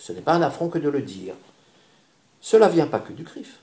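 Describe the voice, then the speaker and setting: A man speaks in a dark, mellow tone with vocal fry. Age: 60s. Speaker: candidate for community organization president. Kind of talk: interview. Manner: calm.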